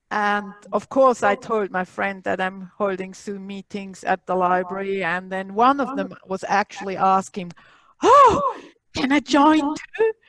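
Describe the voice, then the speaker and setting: In a dry, close recording with no echo, a woman with a Swiss accent speaks at a fairly slow pace with a medium pitch and ordinary pitch variation. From Switzerland. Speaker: library technology instructor. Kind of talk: online workshop, casual chat. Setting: video call.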